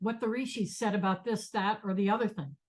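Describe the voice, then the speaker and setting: The voice here is somewhat breathy. It belongs to a woman. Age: 70s. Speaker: meditation teacher. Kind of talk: lecture. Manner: halting.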